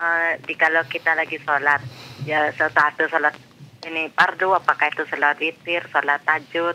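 The tone is bright and sharp, with monotone, flat intonation. The pace is moderate. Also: man, fairly high pitch for a man. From Cianjur, West Java, Indonesia; West Java, Indonesia. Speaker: caller. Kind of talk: phone-in question. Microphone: phone line.

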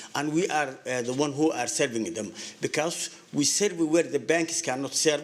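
Over noticeable background noise, a man with a strong non-native accent talks at a moderate pace. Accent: heavy foreign. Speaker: business owner speaking at public comment. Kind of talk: public comment at council meeting. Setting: city council meeting podium. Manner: halting, many fillers and repetitions.

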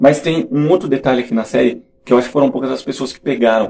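Light background noise sits under this recording. A man talks at a very fast pace. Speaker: youtuber reviewing a TV series. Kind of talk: casual vlog commentary. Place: home room. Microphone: studio mic.

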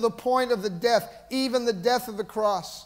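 Against a quiet background, a high-voiced man with an American accent speaks at a moderate pace with fairly even intonation. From US, Boston area. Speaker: pastor; preacher. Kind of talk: sermon. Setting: church. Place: church.

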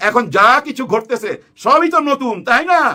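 An animated man speaks in a raised, projected voice, bright and sharp in tone, with lively intonation. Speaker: political commentator. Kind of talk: casual political commentary.

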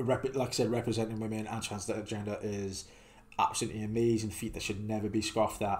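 A man's fairly low voice in a monotone, flat delivery. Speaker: streamer reacting to videos. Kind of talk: casual reaction commentary. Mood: somber, respectful.

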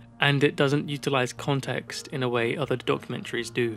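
With music in the background, a man of medium pitch talks at a moderate pace. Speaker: video essayist. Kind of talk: video essay narration. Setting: home studio.

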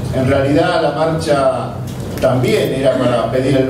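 Noticeable background noise runs through the clip. There is also audible room echo. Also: man. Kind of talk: press conference statement. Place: meeting room.

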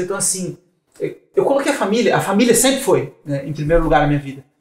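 High-pitched male speech with audible room echo. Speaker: marketing director and entrepreneur; podcast guest. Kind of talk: casual interview chat. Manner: animated. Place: studio.

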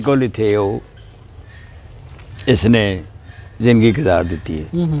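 With a plain, everyday voice, a man talks with lively intonation in a dry sound with no echo. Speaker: local caretaker or acquaintance of the graveyard man, interview answer. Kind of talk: interview answer. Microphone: lapel.

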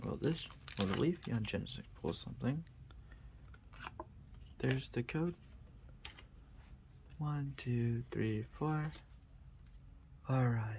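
Soft-spoken delivery at a very slow pace, long, frequent pauses, light background noise. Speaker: ASMR creator. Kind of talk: ASMR card pack opening. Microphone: studio mic.

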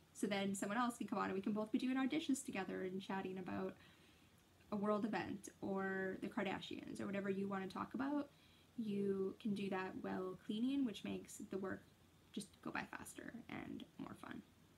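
A woman talks at a moderate pace with vocal fry and ordinary pitch variation over light background noise. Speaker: vlogger. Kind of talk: casual vlog chat. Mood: cheerful, joking. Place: home room. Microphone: phone near.

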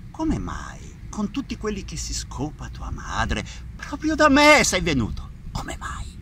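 A man talks at a fairly slow pace, his loudness swinging widely. The sound is dry with no echo, over light background noise. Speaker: actor in a film scene. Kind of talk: angry dramatic rant.

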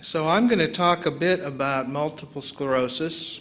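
A man in a plain, everyday voice, with an American accent, ordinary pitch variation and a fairly slow pace. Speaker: neurologist, visiting lecturer. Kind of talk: academic lecture. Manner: conversational, explanatory.

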